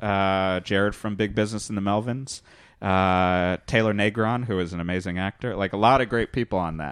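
Over a quiet background, a man with an American accent keeps a fairly even intonation and a fairly low pitch while talking at a fairly quick pace. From Connecticut. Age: 30s. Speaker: musician and comedian. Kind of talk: casual chat. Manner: halting.

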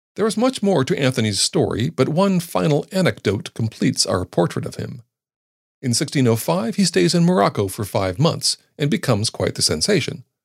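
Fairly quick and fairly high-pitched, a man's voice shows vocal fry and very wide pitch swings. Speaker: podcast narrator. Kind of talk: history documentary narration. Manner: measured, formal, steady storytelling pace; dry, wry, lightly ironic tone.

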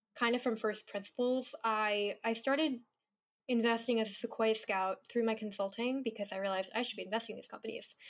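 In a Californian accent, a woman talks at a fairly quick pace with fairly high pitch and fairly even intonation. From Northern California. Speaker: venture capitalist. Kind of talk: casual chat.

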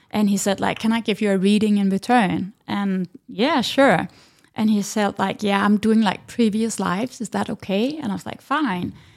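A woman's medium-pitched voice in a Danish accent, at a moderate pace with ordinary pitch variation. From Denmark. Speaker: breathwork instructor. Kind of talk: interview. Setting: in person, with video.

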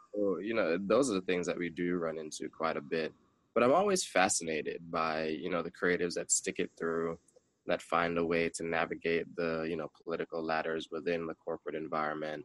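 A man with a very deep, low pitch speaks at a fairly quick pace with fairly even intonation, the sound dry and close with no echo. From Jamaican background. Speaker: graphic designer and business owner. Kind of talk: casual interview chat.

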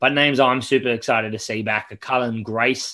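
The speaker has a New Zealand accent and talks at a moderate pace. The background is quiet. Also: man. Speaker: rugby podcast co-host. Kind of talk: casual chat. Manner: flat, unexcited.

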